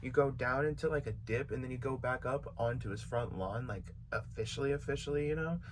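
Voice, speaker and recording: The man's voice is somewhat breathy, with an American accent. Audible room echo surrounds it. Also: medium pitch for a man, ordinary pitch variation, fairly quick pace. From California. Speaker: YouTuber and beat maker. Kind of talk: storytime vlog. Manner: casual, filler-heavy.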